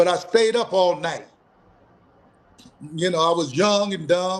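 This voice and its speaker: This man's voice sits high in pitch, and he talks at a fairly slow pace with fairly even intonation. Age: 60s. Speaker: martial arts instructor. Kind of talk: interview. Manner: casual, conversational.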